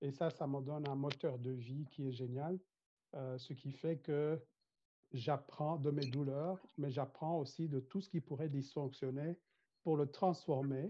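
A man's fairly high voice at a very slow pace, with fairly even intonation. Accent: Rwandan. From Rwanda. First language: Kinyarwanda (speaking French). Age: 50s. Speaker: corporate trainer and mediator. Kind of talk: interview.

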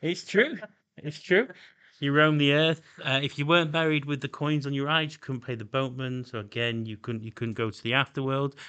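Speaking fairly quickly with a South Yorkshire accent, this man has a fairly high pitch, ordinary pitch variation and big swings in loudness. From Doncaster, South Yorkshire, England. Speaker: podcast host. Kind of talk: casual chat.

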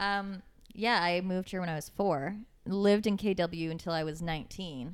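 The voice shows ordinary pitch variation on a very clean recording with a silent background. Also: woman. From Kitchener-Waterloo, Ontario, Canada. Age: 20s. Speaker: podcast host. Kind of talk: casual chat.

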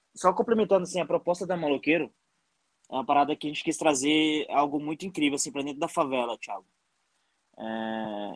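A man with a normal speaking voice talks at a fairly quick pace and a fairly high pitch, with lively intonation. The sound is dry and close, with no echo. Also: big swings in loudness. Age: 30s. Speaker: entrepreneur. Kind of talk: casual chat.

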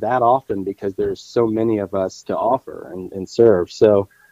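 A man at a fairly slow pace. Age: 40s. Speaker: lay preacher. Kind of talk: casual chat.

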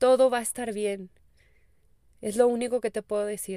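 The woman's tone is dark and mellow. She speaks with monotone, flat intonation. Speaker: spiritual life coach. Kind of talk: casual podcast monologue.

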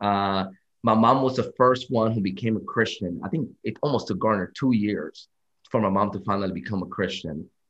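Here is a man with a plain, everyday voice. His pitch sits fairly low. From Dominican Republic, moved to US at 11. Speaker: preacher. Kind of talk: casual interview.

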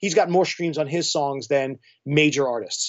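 There is noticeable background noise under this man's voice. He speaks in a fairly high pitch with ordinary pitch variation. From New York. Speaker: electronic musician and label owner. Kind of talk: casual interview chat.

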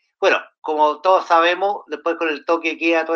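A man's high-pitched voice with a Chilean accent. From Chile, Santiago. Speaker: panelist. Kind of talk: casual chat.

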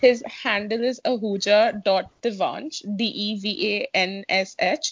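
A woman speaks very slowly at a medium pitch, somewhat breathy, with ordinary pitch variation. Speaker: podcast host. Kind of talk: casual chat.

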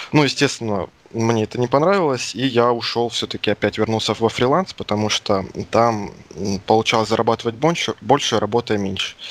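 In a dry, close recording with no echo, a man talks in an ordinary speaking voice with ordinary pitch variation. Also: medium pitch for a man, fairly quick pace. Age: 20s. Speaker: indie game developer. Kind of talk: interview. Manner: casual.

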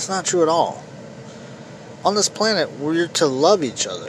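Against noticeable background noise, a man with an American accent talks at a moderate pace with lively intonation. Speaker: political podcast host. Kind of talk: opinion monologue. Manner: halting, repetitive stammering.

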